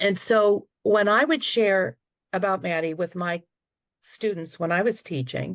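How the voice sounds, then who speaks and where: A woman's medium-pitched voice, fairly slow and lively in intonation, with a dry, close sound, no echo and a quiet background. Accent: American. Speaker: retired teacher, panelist. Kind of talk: panel discussion remarks. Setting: video call.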